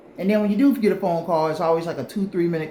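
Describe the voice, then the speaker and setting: Against noticeable background noise and audible room echo, a man speaks in an animated tone at a high pitch. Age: 40s. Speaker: relationship advice vlogger. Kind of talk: casual monologue to camera.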